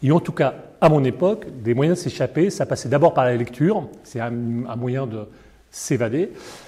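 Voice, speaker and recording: Somewhat breathy and dark, mellow in tone, a man speaks at a moderate pace with a fairly high pitch and lively intonation. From Paris, France. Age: 60s. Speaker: foundation director, former advertising executive. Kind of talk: interview testimony. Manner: hesitant, many fillers and repetitions.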